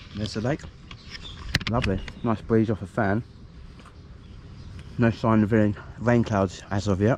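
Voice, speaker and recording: Long, frequent pauses break up speech at a moderate pace, with noticeable background noise. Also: man, fairly low pitch for a man, fairly even intonation. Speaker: angler vlogger. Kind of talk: casual vlog narration. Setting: outdoors at a fishing lake. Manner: mumbling.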